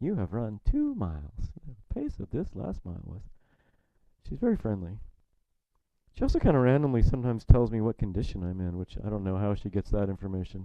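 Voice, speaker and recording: Ordinary pitch variation at a fairly quick pace. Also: man. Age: 60s. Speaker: Zen teacher. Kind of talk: dharma talk. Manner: halting.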